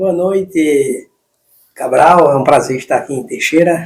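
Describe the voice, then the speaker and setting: Pitch shifts in an ordinary way while the delivery keeps a medium speed. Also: man. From Brazilian Northeast, Santa Cruz do Capibaribe, Pernambuco. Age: 40s. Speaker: long-distance cyclist. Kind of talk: interview. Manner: halting.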